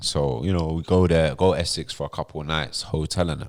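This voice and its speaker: A man with a London accent speaks on a very clean recording with a silent background. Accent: London accent (MLE). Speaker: podcast host. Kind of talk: casual storytelling chat.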